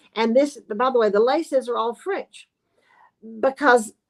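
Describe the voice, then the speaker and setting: Dry, close sound with no echo, in a Southern US accent. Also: woman, long, frequent pauses. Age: 70s. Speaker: sewing expert and business owner. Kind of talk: casual chat. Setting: live online show. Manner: animated.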